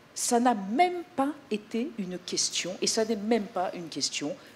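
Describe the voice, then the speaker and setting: Over noticeable background noise, the pitch of the voice swings very widely. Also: woman. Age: 60s. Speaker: TV presenter. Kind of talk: press conference presentation. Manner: animated.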